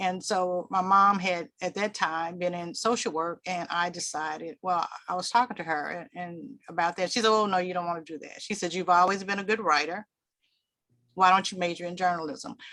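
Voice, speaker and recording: A bright, sharp tone with fairly even intonation at a moderate pace. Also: woman, medium pitch for a woman. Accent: Southern US. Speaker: public relations executive. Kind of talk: panel discussion.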